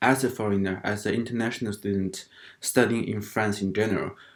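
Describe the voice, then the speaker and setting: A man speaks with a non-native accent. His fairly low voice has fairly even intonation. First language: not English. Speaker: international student vlogger. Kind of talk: casual vlog talk. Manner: halting, many fillers.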